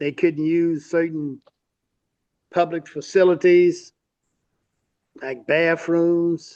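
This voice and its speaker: A man with a Mississippi accent speaks at a very slow pace in a high pitch, his intonation monotone and flat, with long, frequent pauses. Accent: Southern US (Mississippi). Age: 70s. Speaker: civil rights activist's son. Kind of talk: interview.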